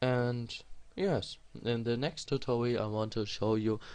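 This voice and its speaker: A man with a strong non-native accent speaks at a fairly slow pace in a medium pitch. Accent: non-native English, self-described strong. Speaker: programming tutorial creator. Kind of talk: screen-recorded coding tutorial. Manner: halting, with fillers.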